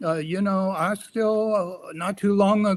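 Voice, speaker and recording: At a fairly slow pace, a man talks with an American accent. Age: 80s+. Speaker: elder and artist. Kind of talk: interview talk. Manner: halting, repeats words.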